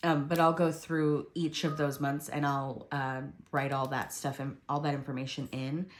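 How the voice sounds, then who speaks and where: A woman talks at a moderate pace in a very deep, low pitch, her intonation monotone and flat. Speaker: planner video creator. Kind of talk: tutorial. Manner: hesitant, many fillers.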